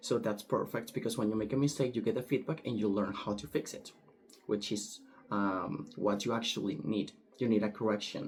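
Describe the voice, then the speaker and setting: In a Spanish accent, a man speaks at a fairly quick pace, his fairly low voice showing ordinary pitch variation. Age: 20s. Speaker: language student. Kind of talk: recorded class assignment monologue. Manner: hesitant, with filler words.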